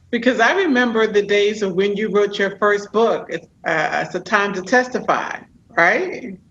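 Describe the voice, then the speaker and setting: At a moderate pace, a woman with a medium pitch speaks with ordinary pitch variation over noticeable background noise. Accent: American. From New York. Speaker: podcast host and executive coach. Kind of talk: interview.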